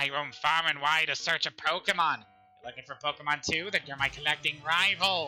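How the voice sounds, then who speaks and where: Over faint music in the background, a man does a put-on character voice, fairly high and at a fairly quick pace. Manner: eccentric, over the top.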